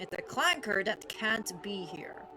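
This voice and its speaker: A woman's raised, projected voice at a very slow pace. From Ireland. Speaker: video game streamer. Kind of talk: casual live stream chat. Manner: animated.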